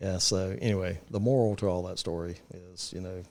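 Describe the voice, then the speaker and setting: Very deep and low in pitch, a man speaks in an eastern North Carolina accent. He keeps a moderate pace and a fairly even intonation. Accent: eastern North Carolina Southern. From eastern North Carolina (Kinston). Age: 50s. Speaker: real estate investor. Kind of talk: casual podcast chat. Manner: hesitant, many fillers.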